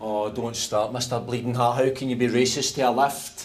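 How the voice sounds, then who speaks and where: Over noticeable background noise, a man with a Scottish accent speaks at medium pitch and a moderate pace in a monotone, flat delivery. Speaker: comedy sketch character. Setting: lift.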